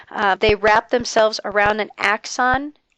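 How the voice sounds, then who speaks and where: A woman uses an ordinary speaking voice, fairly high in pitch, with fairly even intonation. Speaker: biology lecturer. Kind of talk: lecture.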